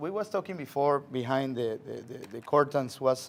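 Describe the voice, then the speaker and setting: A man with a Spanish accent, a fairly high pitch and a moderate pace. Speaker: chef. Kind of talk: cooking demonstration. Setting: studio, live stream.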